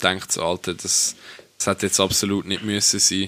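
A man speaks at a very fast pace with a fairly low pitch. His tone is bright and sharp. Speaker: podcast co-host. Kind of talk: casual chat.

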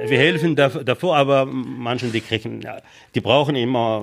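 Vocal fry from a man at a medium pitch, moderate in pace, with ordinary pitch variation. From Morocco. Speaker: lifeguard and trained baker. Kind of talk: interview. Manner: halting.

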